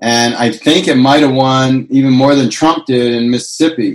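Here a man with an ordinary speaking voice talks at a fairly slow pace in a medium pitch. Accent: American. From California. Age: 50s. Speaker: cannabis activist and consultant. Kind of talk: interview.

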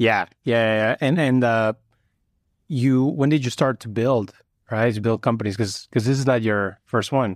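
Using an ordinary speaking voice, a man talks at medium pitch and a moderate pace with fairly even intonation, the sound dry and close with no echo in a very clean recording with a silent background. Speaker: podcast host and venture capitalist. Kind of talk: interview conversation. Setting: in person at guest's office.

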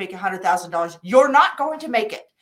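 A woman speaks with an American accent. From US Midwest, Wichita, Kansas. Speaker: business coach. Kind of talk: interview.

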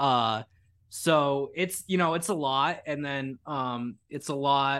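A man with an American accent and fairly high pitch, an ordinary speaking voice, fairly even intonation, very clean recording with a silent background. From United States. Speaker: independent journalist. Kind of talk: casual chat. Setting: livestream interview.

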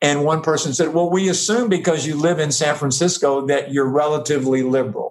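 A man's normal speaking voice, fairly high in pitch, at a fairly quick pace, with ordinary pitch variation and very even loudness. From US South. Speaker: professor and advertising executive. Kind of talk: casual chat.

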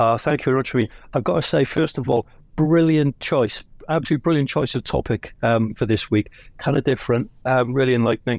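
A man with a British accent and a medium pitch speaks at a very fast pace with ordinary pitch variation and very even loudness, on a very clean recording with a silent background and a dry, close sound free of echo. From Britain. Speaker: automotive industry professional. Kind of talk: audience comment in live audio.

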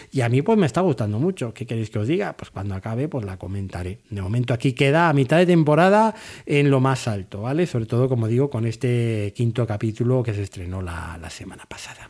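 With an unremarkable speaking voice at medium pitch, a man talks at a fairly quick pace with lively intonation and big swings in loudness, on a very clean recording with a silent background. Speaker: TV series podcaster. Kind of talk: solo review monologue.

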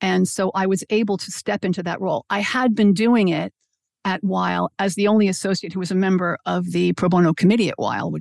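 An ordinary speaking voice with an American accent moves at a fairly quick pace with fairly even intonation. The sound is dry and close with no echo, over a quiet background. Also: woman, medium pitch for a woman. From Brooklyn, New York, US. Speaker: law firm pro bono director. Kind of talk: interview.

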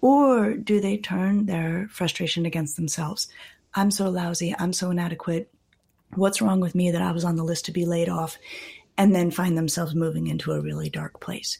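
Calm in tone, a woman speaks at a moderate pace in a fairly low, dark, mellow, somewhat breathy voice with ordinary pitch variation. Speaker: clinical psychologist and author. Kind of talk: interview conversation.

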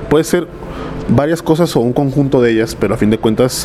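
Fairly quick speech from a man, with ordinary pitch movement, comes through noticeable background noise. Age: 30s. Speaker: music marketing specialist. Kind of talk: casual interview chat. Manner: hesitant fillers.

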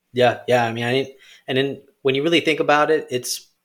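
Male speech at a moderate pace with fairly even intonation, in a very clean recording with a silent background. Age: 30s. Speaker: writer and religion student. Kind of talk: casual chat. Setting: studio.

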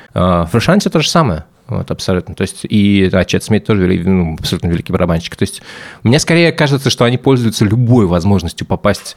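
Talking at a very fast pace, a man with a fairly low pitch swings his pitch very widely. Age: 30s. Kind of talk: casual chat.

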